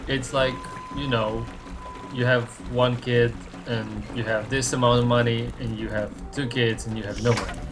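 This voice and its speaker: A man's speech in a non-native accent at a moderate pace with long, frequent pauses, amid audible room echo and music in the background. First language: not English. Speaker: game developer. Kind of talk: casual chat. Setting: live stream. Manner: halting.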